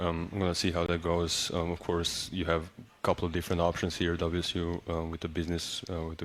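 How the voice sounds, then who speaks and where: A man's very deep, low, flat monotone with a Serbian accent, fairly quick with hardly any pauses, on a very clean recording with a silent background. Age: young. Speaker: college basketball player. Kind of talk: radio interview. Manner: halting.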